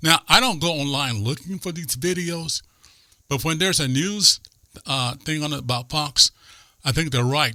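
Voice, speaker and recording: A man speaks with a bright, sharp tone at a fairly high pitch, animated and with ordinary pitch variation. His pace is moderate with long, frequent pauses, on a very clean recording with a silent background. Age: 60s. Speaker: conservative podcast co-host. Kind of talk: political talk show discussion.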